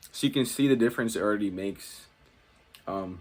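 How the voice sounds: A man speaks at a fairly quick pace. His voice is fairly low-pitched with a slightly mellow tone. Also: ordinary pitch variation.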